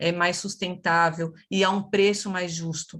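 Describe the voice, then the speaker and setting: A woman with a São Paulo accent, medium pitch and monotone, flat intonation. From São Paulo, Brazil. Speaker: nutritionist, webinar speaker. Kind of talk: webinar talk.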